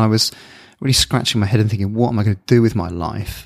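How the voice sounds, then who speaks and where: A man's medium-pitched voice with a southern English accent and ordinary pitch variation, in a dry, close sound with no echo. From southern England (Bournemouth). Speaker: sports scientist. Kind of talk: interview. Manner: halting.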